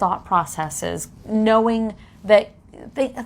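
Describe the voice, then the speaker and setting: Speaking at a very slow pace, a woman uses a fairly high voice. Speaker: hypnotherapist podcast co-host. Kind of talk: casual chat.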